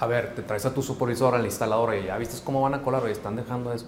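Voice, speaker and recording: A man at medium pitch, talking at a very fast pace, with audible room echo and noticeable background noise. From Mexico, Hermosillo (Sonora). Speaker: project management firm founder. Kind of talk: interview.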